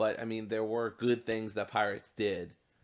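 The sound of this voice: The speaker uses an unforced reading voice.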